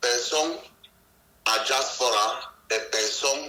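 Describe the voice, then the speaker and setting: Amid noticeable background noise and audible room echo, a man speaks very slowly at a medium pitch with ordinary pitch variation. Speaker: ex-separatist fighter. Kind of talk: interview testimony. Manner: halting.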